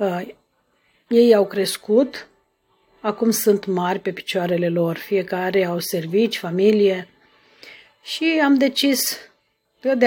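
Pausing long and often, a woman with a medium pitch talks at a very slow pace with ordinary pitch variation. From Romania, Bacău county (Moldavia). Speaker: podcaster sharing her life story. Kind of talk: personal storytelling monologue. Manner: halting, with frequent filler sounds.

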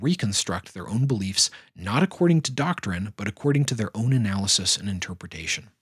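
This man talks fairly quickly at a medium pitch, his somewhat breathy voice carrying lively intonation. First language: not Finnish (speaks English natively). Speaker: podcast host, Satanist philosopher and religion critic. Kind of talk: scripted narration.

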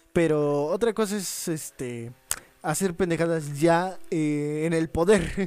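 A man with a high-pitched voice and ordinary pitch variation speaks at a very slow pace. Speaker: podcast co-host. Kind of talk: casual chat.

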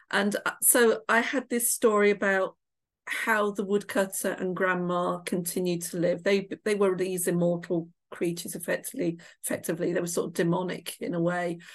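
A woman speaks at a moderate pace in a West Midlands accent, her medium-pitched voice keeping a fairly even intonation against a quiet background. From England, Shropshire. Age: middle-aged. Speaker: author. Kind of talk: interview.

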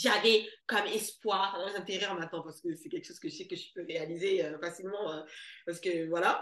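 A woman talks in an animated tone. Her pace is fairly quick. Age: 30s. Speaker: money mentor for entrepreneurs. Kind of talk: casual chat.

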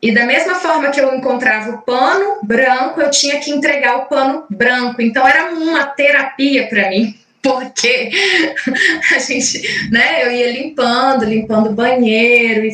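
There is noticeable background noise. A woman speaks at a high pitch and a fairly slow pace. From Minas Gerais, Brazil (Caratinga). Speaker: invited speaker on spirituality. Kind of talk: talk in online group meeting. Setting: video call livestream. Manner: halting, many fillers.

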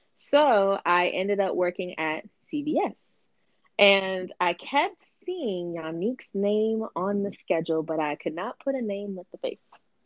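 A woman with a plain, everyday voice, medium pitch, lively intonation and a fairly slow pace. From US, military family, raised in several states. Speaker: guest. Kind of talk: casual chat.

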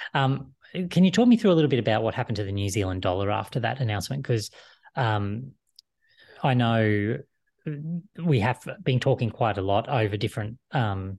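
A man with a medium pitch sounds somewhat breathy. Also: quiet background. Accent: Australian. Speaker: finance show host. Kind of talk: scripted intro then interview; casual interview on finance.

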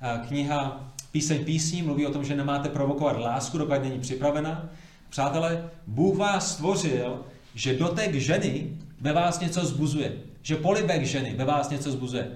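A man speaks at a fairly high pitch, with noticeable background noise and audible room echo. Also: ordinary pitch variation, moderate pace. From Prague, Czechia. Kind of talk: church seminar talk.

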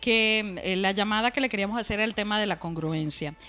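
A woman speaks with a fairly high pitch. Music can be heard in the background. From Venezuela, Valencia. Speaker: podcast co-host and tarot reader. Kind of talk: casual chat.

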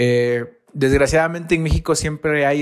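A man with a fairly high pitch uses a normal speaking voice, ordinary pitch variation and a moderate pace. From Mexico, Veracruz. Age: 30s. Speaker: graphic designer. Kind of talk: recorded monologue.

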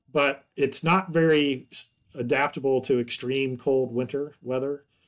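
A man with a plain, everyday voice and an American accent speaks at a moderate pace. His pitch is fairly high and his intonation fairly even. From US South, upstate South Carolina. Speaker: forest entomology professor. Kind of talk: interview.

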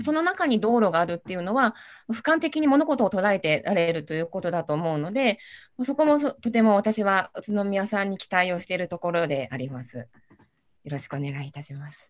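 Her voice moves through very wide pitch swings at a fairly quick pace. The woman is heard on a very clean recording with a silent background. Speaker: city councillor. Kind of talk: panel discussion.

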